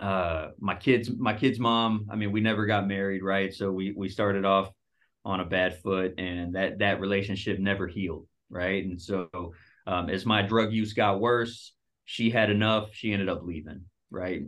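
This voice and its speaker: With an American accent, a man speaks in an ordinary speaking voice at a moderate pace, with fairly low pitch and fairly even intonation. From Dallas, Texas. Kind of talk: casual interview, testimony.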